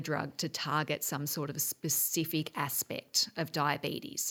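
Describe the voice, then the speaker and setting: Speaking with an Australian accent at a fairly slow pace, a woman is heard on a very clean recording with a silent background. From Australia, Geelong. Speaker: medical researcher. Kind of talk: interview.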